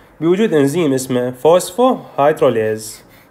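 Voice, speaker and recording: A man with an Iraqi accent speaks at a fairly high pitch for a man. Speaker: medical tutor. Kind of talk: lecture. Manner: informal, code-switching Arabic and English terms.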